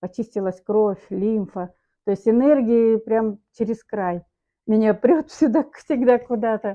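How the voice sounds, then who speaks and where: Her pitch fairly high, a woman speaks at a very slow pace with ordinary pitch variation. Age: 60s. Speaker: customer giving a product testimonial. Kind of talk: testimony.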